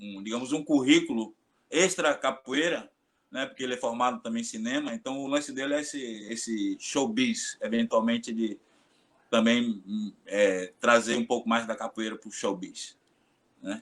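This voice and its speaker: Speaking with a Bahian accent, a man uses a medium pitch. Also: ordinary pitch variation, moderate pace, big swings in loudness. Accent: Bahian Brazilian Portuguese. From Bahia, Brazil (Salvador). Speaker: capoeira master. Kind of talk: casual chat.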